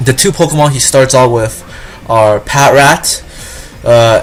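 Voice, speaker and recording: Music plays in the background. The speech has a fairly slow pace and fairly even intonation. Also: man. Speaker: gaming walkthrough commentator. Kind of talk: game commentary. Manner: stuttering, hesitant.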